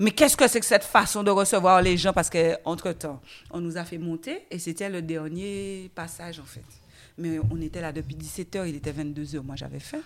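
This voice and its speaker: With an animated tone, a woman at a fairly low pitch speaks at a moderate pace and ordinary pitch variation. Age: 40s. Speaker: guest sharing her obesity journey. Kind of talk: testimony. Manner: animated, laughing.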